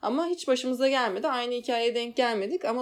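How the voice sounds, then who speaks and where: At a fairly quick pace, a woman with a high pitch speaks on a very clean recording with a silent background. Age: 20s. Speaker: podcast co-host. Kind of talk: casual chat.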